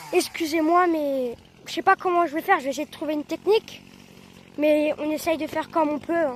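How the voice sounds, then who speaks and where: Against noticeable background noise, a woman speaks at a fairly quick pace. Her high voice keeps fairly even intonation. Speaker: farmer and video creator. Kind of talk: casual vlog narration. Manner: halting, many fillers; loud.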